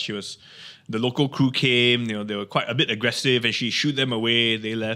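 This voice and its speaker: A man with a medium-pitched voice speaks very quickly. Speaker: TV presenter. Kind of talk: interview.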